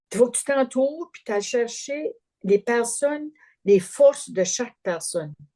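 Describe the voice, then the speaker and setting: This woman has a high-pitched, dark, mellow tone. Her intonation is lively and her loudness swings widely. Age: 70s. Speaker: family caregiver. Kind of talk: interview testimony. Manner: halting, repeats words.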